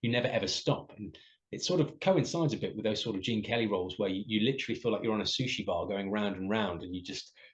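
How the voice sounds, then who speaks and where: A very fast delivery in an English accent. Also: man. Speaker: musical theatre performer. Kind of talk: interview. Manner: hesitant with fillers.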